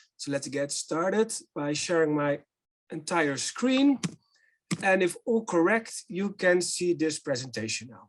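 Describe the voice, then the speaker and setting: A man with a Dutch accent speaks at a high pitch, his intonation lively. His loudness swings widely from moment to moment. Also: fairly slow pace. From Netherlands. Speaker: company director presenting a business simulation. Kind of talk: webinar presentation.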